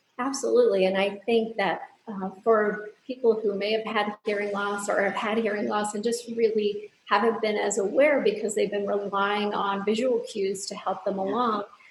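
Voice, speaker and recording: A woman speaks at a moderate pace with hardly any pauses, her medium-pitched voice monotone and flat over noticeable background noise. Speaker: audiologist. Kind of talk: interview answer.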